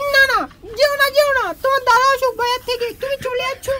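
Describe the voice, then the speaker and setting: Using a put-on character voice, a woman speaks at an extremely high pitch in a monotone, flat intonation and at a fairly quick pace. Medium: comedy sketch. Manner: crafty, quick.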